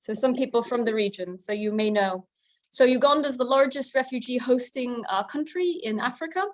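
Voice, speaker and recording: Her high voice moves at a fairly quick pace, and the woman's intonation is lively. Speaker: researcher. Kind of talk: webinar presentation. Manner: fast when excited.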